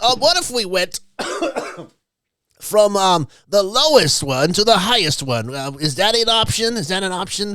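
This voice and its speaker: A man's put-on character voice, strained and high-pitched, with very wide pitch swings, a moderate pace and long, frequent pauses. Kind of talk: hesitant, filler-laden. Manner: strained, effortful put-on voice.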